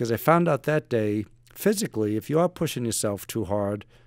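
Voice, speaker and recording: In a very clean recording with a silent background and a dry, close sound with no echo, a man uses a plain, everyday voice at a medium pitch with lively intonation. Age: 60s. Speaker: retired navy special forces operator and author. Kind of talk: podcast interview storytelling.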